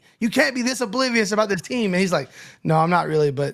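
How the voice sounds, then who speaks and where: This man speaks with an American accent, a high pitch and lively intonation. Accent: Southern, heavy when excited. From North Carolina. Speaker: podcast co-host. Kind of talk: casual chat. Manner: fast when excited.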